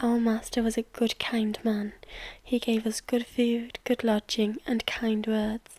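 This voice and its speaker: Soft-spoken and at a fairly slow pace, the speaker talks. The accent is British. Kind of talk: audiobook reading, bedtime story.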